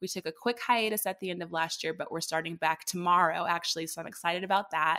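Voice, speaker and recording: A woman's fairly low-pitched, bright and sharp voice with an American accent, fairly even intonation and a very fast pace. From Dallas, Texas. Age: young. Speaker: podcast host and wellness entrepreneur. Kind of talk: casual interview chat.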